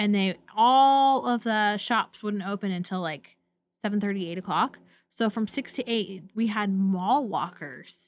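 A woman with an American accent in an ordinary speaking voice, medium pitch with ordinary pitch variation, at a fairly slow pace, in a very clean recording with a silent background. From US Pacific Northwest, Portland. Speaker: podcast co-host. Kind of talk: casual chat.

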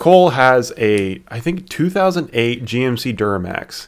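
With an American accent, a man speaks at a medium pitch with lively intonation. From southern Indiana. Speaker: podcast co-host. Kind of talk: casual chat.

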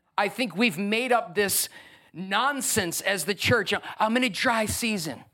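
A man speaks in a raised, projected voice that is high-pitched, animated, and bright and sharp in tone. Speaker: pastor. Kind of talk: sermon. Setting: church with live congregation. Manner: warm and humorous, joking with the crowd.

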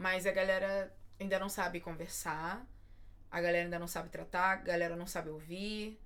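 A woman speaks at a moderate pace in a fairly low pitch, with a monotone, flat intonation. Audible room echo surrounds her voice. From Belford Roxo, Rio de Janeiro, Brazil. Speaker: podcast host. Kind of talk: casual interview chat.

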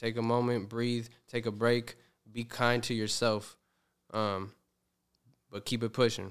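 A man speaks in a flat monotone. He leaves long, frequent pauses. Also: medium pitch for a man, fairly slow pace. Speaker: musician. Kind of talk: casual chat.

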